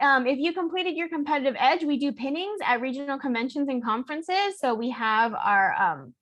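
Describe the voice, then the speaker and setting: Her pitch high and her intonation lively, a woman talks at a fairly quick pace with hardly any pauses. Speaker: student honor society officer. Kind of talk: presentation. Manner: fast.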